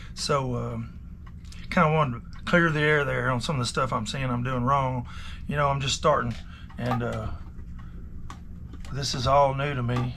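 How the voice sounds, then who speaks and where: A man speaks at a moderate pace in a relaxed tone, with long, frequent pauses. Audible room echo colors the sound. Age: 50s. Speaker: watch repairer. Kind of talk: casual vlog talk. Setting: repair shop. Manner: relaxed, rambling with many fillers.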